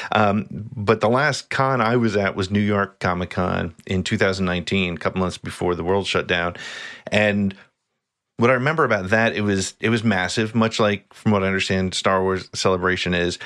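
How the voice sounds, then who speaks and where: An unremarkable speaking voice from a man with an American accent, a fairly low pitch, ordinary pitch variation and a moderate pace. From New Jersey. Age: 50s. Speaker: podcaster. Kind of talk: casual chat.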